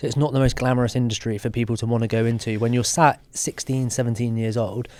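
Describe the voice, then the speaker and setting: Very fast and monotone, a man with a British accent speaks at a medium pitch with flat intonation. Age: 30s. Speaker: podcast host. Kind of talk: casual chat.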